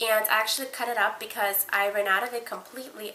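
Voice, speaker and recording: A woman at a fairly quick pace with fairly even intonation, over noticeable background noise. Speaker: beauty vlogger. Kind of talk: casual product review vlog. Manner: fast.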